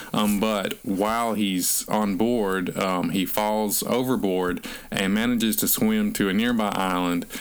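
Using a Southern US accent, a man with a fairly low pitch talks at a fairly slow pace with fairly even intonation, hardly any pauses, and very even loudness. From North Alabama. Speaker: podcast co-host, author. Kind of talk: casual chat about books.

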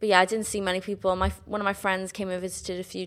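A woman talks at a very fast pace with a South Wales accent. Her intonation is monotone and flat. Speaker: musical theatre graduate. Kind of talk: casual chat.

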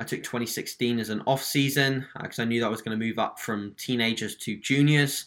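On a very clean recording with a silent background, a man with a British accent talks at a fairly quick pace in a bright, sharp tone, at a medium pitch and with fairly even intonation. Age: 20s. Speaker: online fitness coach. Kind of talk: podcast interview.

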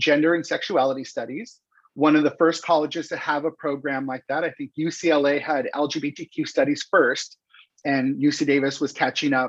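With a Californian accent, a man talks at a fairly high pitch with fairly even intonation. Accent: Californian American English. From Los Angeles, California. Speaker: campaign strategist. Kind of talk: interview. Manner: projecting voice.

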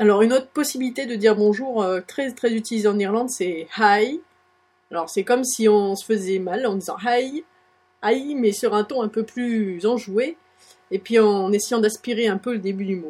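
A woman speaks at a moderate pace, her fairly high pitch rising and falling with ordinary variation. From France. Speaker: blogger. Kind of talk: tutorial. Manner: hesitant.

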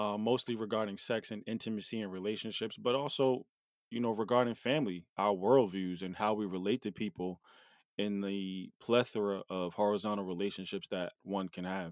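A man with an American accent, in an ordinary speaking voice, fairly low-pitched and fairly even in intonation, at a fairly quick pace, dry and close with no echo, on a very clean recording over a silent background. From US Northeast (New Jersey). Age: 40s. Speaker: podcast co-host. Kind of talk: casual chat.

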